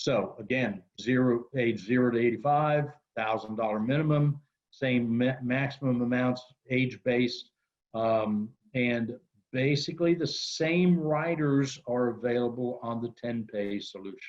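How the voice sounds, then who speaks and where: With a plain, everyday voice, a man speaks at a fairly slow pace and medium pitch, varying his pitch in an ordinary way. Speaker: insurance company representative. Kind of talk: webinar presentation. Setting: webinar.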